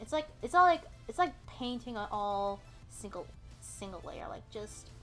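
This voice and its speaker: A woman mumbles with music in the background. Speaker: digital artist. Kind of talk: casual commentary over speedpaint. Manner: hesitant, stuttering, mumbling.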